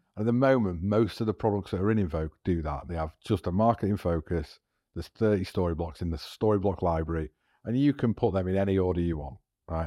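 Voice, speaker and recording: Very deep and low, a man's dark, mellow voice moves at a very fast pace with ordinary pitch variation. The sound is dry and close with no echo, over a quiet background. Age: 40s. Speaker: tech startup founder and filmmaker. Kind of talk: casual interview. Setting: studio.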